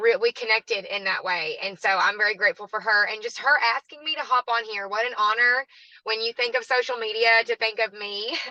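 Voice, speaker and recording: A woman with a Southern US accent talks at a fairly quick pace in a bright, sharp tone. Her intonation is fairly even, and the sound is dry and close with no echo. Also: fairly high pitch for a woman. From US South, southwest Arkansas. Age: 20s. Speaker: network marketing guest speaker. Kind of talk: online training talk.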